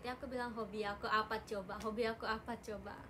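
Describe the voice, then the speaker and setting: Speaking fairly quickly at a fairly high pitch, a woman is heard with audible room echo and noticeable background noise. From Japan. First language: Japanese (speaking Indonesian). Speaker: idol group member livestreamer. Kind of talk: casual livestream chat. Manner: animated.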